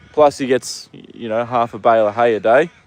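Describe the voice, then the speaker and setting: A man of medium pitch with an Australian accent. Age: 20s. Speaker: stable hand and horse live streamer. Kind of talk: casual live stream chat. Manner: halting, searching for words.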